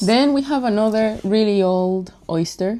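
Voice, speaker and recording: A woman speaks in a dark, mellow tone. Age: 20s. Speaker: lifestyle vlogger. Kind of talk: casual vlog show-and-tell. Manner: musing, casual.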